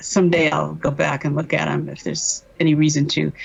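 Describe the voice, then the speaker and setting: A woman at a moderate pace. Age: 70s. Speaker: MKUltra survivor, doctor. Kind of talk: testimony. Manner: halting.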